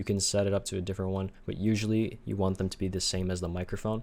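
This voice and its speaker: In a very clean recording with a silent background, a man speaks very fast at a fairly low pitch with fairly even intonation. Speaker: tech tutorial youtuber. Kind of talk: screen-recorded software tutorial narration. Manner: monotone.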